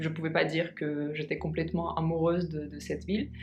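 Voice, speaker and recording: Music plays in the background as a woman with a fairly low pitch speaks at a moderate pace with fairly even intonation, in audible room echo. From Russia, Moscow. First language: Russian (speaking French). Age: 20s. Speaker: vlogger. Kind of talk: casual vlog talk. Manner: halting, many hesitations.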